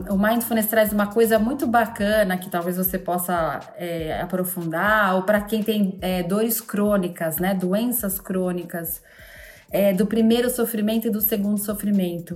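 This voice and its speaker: The speaker talks at a fairly slow pace with fairly even intonation. It is a normal speaking voice. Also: woman, medium pitch for a woman. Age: 40s. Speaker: mindfulness coach. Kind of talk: casual chat.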